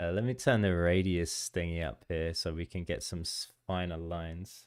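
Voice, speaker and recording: The recording is very clean, with a silent background. A man with an English accent and a very deep, low pitch speaks with fairly even intonation. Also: moderate pace. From England, near London. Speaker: game developer streamer. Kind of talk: casual livestream commentary. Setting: live stream with music playing.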